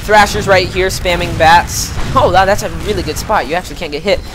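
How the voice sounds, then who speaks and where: Against noticeable background noise, the woman's voice holds a medium pitch. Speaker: esports shoutcaster. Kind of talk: live game commentary. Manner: energetic, fast-paced.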